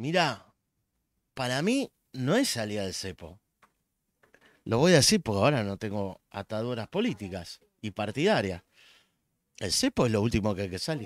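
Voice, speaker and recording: A man with a Rioplatense accent speaks at a medium pitch and moderate pace, with lively intonation. He takes long, frequent pauses, and the sound is dry with no echo. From Argentina. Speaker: economist; guest. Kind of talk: casual chat. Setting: live stream. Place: home room. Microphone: studio mic.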